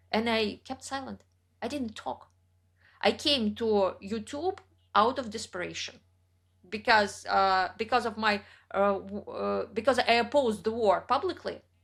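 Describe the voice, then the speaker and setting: A woman with a Russian accent speaks at a fairly slow pace and a fairly high pitch, with ordinary pitch variation. The recording is very clean, with a silent background. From central Russia. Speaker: writer and YouTuber. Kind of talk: interview conversation.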